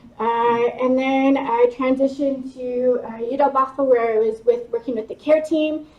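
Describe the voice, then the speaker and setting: Noticeable background noise surrounds the speaker. She is a woman with a high pitch. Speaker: university student success manager. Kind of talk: workshop presentation.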